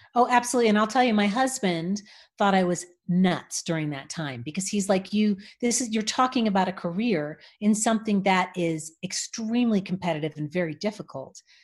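Against a quiet background, a woman with an American accent speaks at a fairly quick pace in a somewhat breathy, medium-pitched voice with lively intonation. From Los Angeles. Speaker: voice actor and voice coach. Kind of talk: interview conversation.

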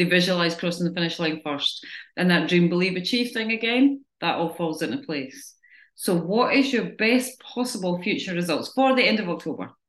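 A woman talks at a moderate pace in a medium pitch with lively intonation. She has a plain, everyday voice. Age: 40s. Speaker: fitness coach. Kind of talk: group coaching talk. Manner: casual.

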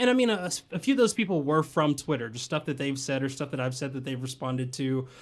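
Speaking at a very fast pace, a man with an American accent uses a fairly high pitch and ordinary pitch variation in a very clean recording with a silent background. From US South (Tennessee/Georgia). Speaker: podcast host. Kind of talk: casual chat. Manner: animated.

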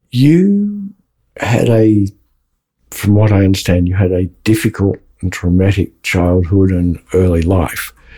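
A man's somewhat breathy, dark and mellow voice, fairly low in pitch, fairly slow, with fairly even intonation. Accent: Australian. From Australia. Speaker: podcast co-host. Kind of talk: interview.

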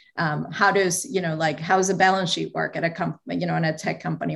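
A woman with a slight Venezuelan accent and vocal fry speaks at a fairly low pitch against a quiet background. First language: Spanish. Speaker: marketing executive. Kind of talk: interview.

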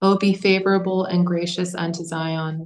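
A woman's fairly low voice, monotone and flat, at a moderate pace. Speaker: co-leader of the service, giving the responses. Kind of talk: liturgical responses and alternating psalm verses.

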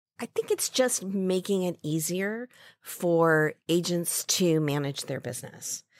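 A woman's plain, everyday voice, fairly slow, with ordinary pitch variation, in a dry, close recording with no echo and a very clean, silent background. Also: fairly low pitch for a woman. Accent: American. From US Midwest (Ames, Iowa). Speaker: marketing executive. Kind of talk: interview.

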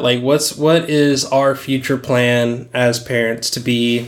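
An unremarkable speaking voice with fairly even intonation. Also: man. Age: 20s. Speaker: podcast co-host. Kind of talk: casual chat.

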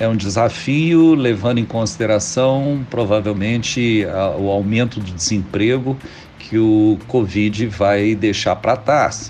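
A man speaks very slowly at a fairly low pitch, with noticeable background noise behind him. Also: ordinary pitch variation. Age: 60s. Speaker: physician and health cooperative executive. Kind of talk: radio interview. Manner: hesitant, many filler sounds.

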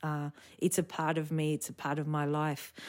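This woman's very deep, low voice is captured in a very clean recording against a silent background. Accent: Australian. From Sydney, Australia (eastern suburbs). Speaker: flamenco dancer and choreographer. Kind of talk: casual interview.

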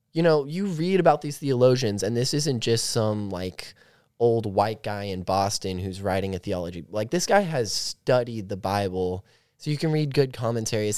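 On a very clean recording with a silent background, a man with an ordinary speaking voice speaks at a medium pitch and moderate pace with lively intonation. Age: young. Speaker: college student. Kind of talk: casual chat.

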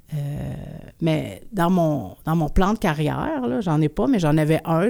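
A woman speaks in a dark, mellow tone at a very deep, low pitch, with ordinary pitch variation and a moderate pace. The recording is very clean and the background silent. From Quebec, Abitibi-Témiscamingue (Rouyn-Noranda). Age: 40s. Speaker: performance artist and musician. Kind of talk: interview.

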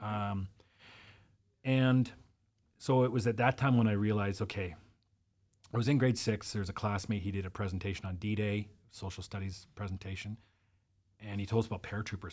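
Speaking fairly quickly with a Canadian accent, a man with a fairly low, somewhat breathy voice takes long, frequent pauses, his loudness swinging widely, on a very clean recording with a silent background. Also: ordinary pitch variation. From Interior British Columbia, Canada. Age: 40s. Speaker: life coach and military veteran. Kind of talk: casual chat.

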